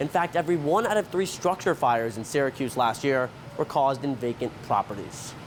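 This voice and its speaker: With an unremarkable speaking voice, a man speaks at a fairly quick pace and fairly high pitch, his intonation lively and his loudness very even. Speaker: multimedia journalist. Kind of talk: news package narration.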